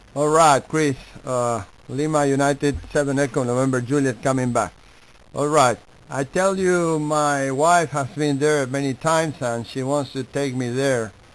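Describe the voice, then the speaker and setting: A man talks with an Argentine accent at a moderate pace. His pitch is fairly high and his intonation fairly even. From Argentina, Buenos Aires. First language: Spanish. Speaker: amateur radio operator. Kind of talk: ham radio contact. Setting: radio contact. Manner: halting.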